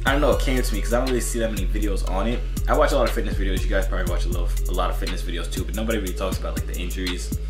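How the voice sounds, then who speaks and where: A man at a very fast pace, with clear music in the background. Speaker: fitness vlogger. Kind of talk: casual vlog chat. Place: home room. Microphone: phone near.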